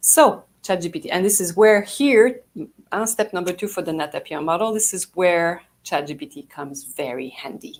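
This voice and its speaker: A woman speaks in a French Canadian accent at a moderate pace. Her pitch is medium, with very wide swings. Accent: typical French Canadian. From Canada (French Canadian). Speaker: PR agency founder. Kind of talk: live talk to audience. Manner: enthusiastic, halting.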